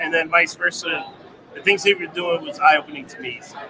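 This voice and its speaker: Over noticeable background noise, a man with a New Jersey accent uses a raised, projected voice at a fairly quick pace with ordinary pitch variation. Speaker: trucking company office manager and military veteran. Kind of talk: interview.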